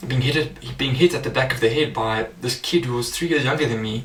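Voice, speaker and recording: With noticeable noise behind him, a man delivers his words at a moderate speed. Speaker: life coach. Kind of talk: personal testimony. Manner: casual, many fillers.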